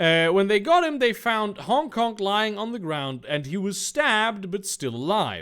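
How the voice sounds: A natural reading voice, its intonation lively throughout.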